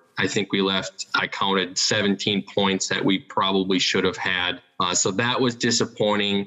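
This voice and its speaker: Over noticeable background noise, a man speaks at a fairly slow pace in a monotone, flat intonation, with very even loudness and hardly any pauses. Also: fairly low pitch for a man. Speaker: sports podcast co-host. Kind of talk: casual chat.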